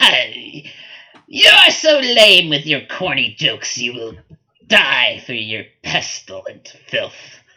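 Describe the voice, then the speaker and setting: Someone goes at a very slow pace in a put-on character voice with a middle pitch. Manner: scornful, insulting.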